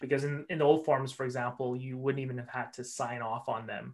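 A very fast pace with a Canadian accent. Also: man. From Vancouver area, British Columbia. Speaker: immigration and refugee lawyer. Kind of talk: casual chat.

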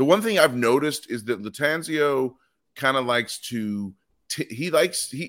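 A man speaks at a medium pitch with ordinary pitch variation. The recording is very clean, with a silent background. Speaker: soccer podcast co-host. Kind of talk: casual chat. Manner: talkative.

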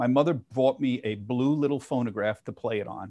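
Against a quiet background, a man with an American accent has a plain, everyday voice, medium in pitch, fairly even in intonation and moderate in pace. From Philadelphia, US. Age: 60s. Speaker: financial TV journalist. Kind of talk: casual interview.

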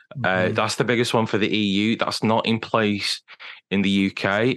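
Against a quiet background, a man with a British accent speaks at a moderate pace, his fairly low voice following fairly even intonation. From Britain. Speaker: digital sustainability consultant. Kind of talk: interview.

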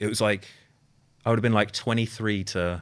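A man with a British accent is heard on a very clean recording with a silent background. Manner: deadpan.

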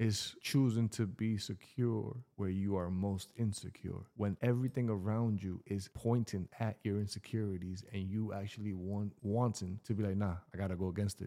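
This man's voice is fairly low in pitch, dark and mellow in tone, and moves at a moderate pace. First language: Spanish. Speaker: podcast co-host. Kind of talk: casual chat. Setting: studio.

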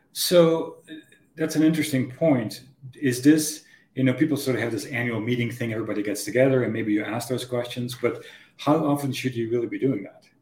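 Somewhat breathy and at a medium pitch, a man talks at a fairly quick pace with ordinary pitch variation. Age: 50s. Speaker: podcast host. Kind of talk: interview.

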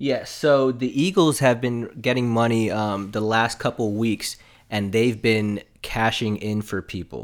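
An ordinary speaking voice with an American accent, at a fairly slow pace and with ordinary pitch variation, on a very clean recording with a silent background. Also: man. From South Florida. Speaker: sports and gambling podcast co-host. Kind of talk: casual chat.

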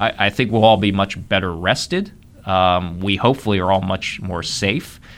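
At a moderate pace, a man talks in an unremarkable speaking voice with a fairly low pitch. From Ohio, Columbus. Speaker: economic development executive. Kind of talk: radio interview.

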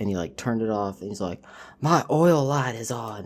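A man talks fairly quickly and at a fairly low pitch, in an ordinary speaking voice. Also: very clean recording, silent background. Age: 20s. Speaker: auto mechanic. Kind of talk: casual interview.

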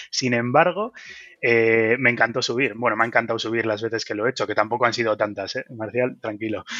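Spoken in a normal speaking voice, the words come at a fairly quick pace with fairly even intonation. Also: man, medium pitch for a man. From Basque Country, Bilbao. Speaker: wind energy engineer. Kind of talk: interview.

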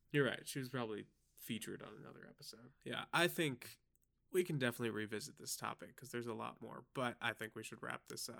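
A man talks in an unremarkable speaking voice. His pitch is medium, with ordinary pitch variation. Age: young. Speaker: podcast co-host, freelance filmmaker. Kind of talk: casual chat.

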